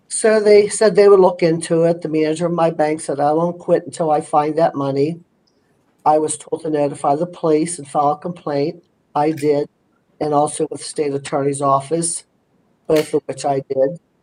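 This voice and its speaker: With an American accent, a woman speaks at a very deep, low pitch in a dark, mellow tone. Her intonation is fairly even and her pace moderate. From Pittsburgh, Pennsylvania. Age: old. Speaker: scam victim witness. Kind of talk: testimony.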